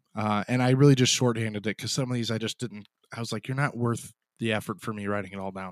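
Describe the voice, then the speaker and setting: At a very fast pace, a man with an American accent speaks at a medium pitch. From Chicago area, US Midwest. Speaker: podcast host. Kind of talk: casual chat.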